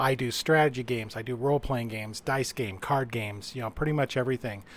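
This man has an American accent and a plain, everyday voice. His pitch is medium, with ordinary variation. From Utah. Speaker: game writer and reviewer. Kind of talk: casual chat.

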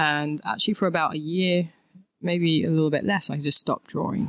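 A woman in a London accent at a moderate pace. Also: very clean recording, silent background. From southeast London, England. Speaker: artist. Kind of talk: interview. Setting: studio.

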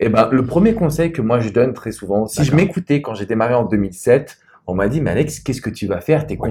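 Speaking at a very fast pace with lively intonation, a man has a medium pitch and a dark, mellow tone that is somewhat breathy. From France. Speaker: love and business coach. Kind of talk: interview. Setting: private wine cellar venue.

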